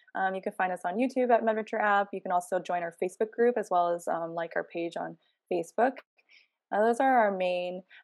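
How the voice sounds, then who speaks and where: A woman with an unremarkable speaking voice and an American accent talks at a fairly quick pace with ordinary pitch variation over a quiet background. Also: medium pitch for a woman, dry, close sound with no echo. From New York. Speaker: travel nurse and app co-founder. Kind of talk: casual interview.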